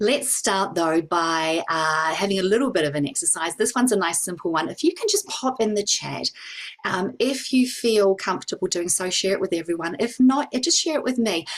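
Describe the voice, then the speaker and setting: Fairly quick and lively in intonation, a woman speaks at medium pitch over noticeable background noise. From New Zealand. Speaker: psychic reader and well-being educator. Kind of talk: online talk / workshop presentation. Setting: video call.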